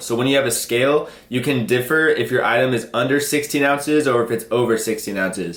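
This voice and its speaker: A man with an American accent speaks at a very fast pace and medium pitch, with ordinary pitch variation, over noticeable background noise. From US Pacific Northwest (Seattle). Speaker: online reseller / YouTuber. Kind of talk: tutorial. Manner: casual, filler-heavy.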